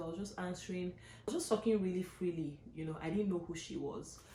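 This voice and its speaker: Over noticeable background noise, a woman speaks with fairly even intonation. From Nigeria. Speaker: vlogger, physician and graduate student. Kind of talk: casual vlog storytelling.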